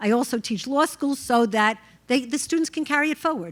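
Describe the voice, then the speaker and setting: Lively intonation carries a very fast delivery in a very clean recording with a silent background. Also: woman. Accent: New York. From New York. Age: 60s. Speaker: judge. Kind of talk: panel discussion.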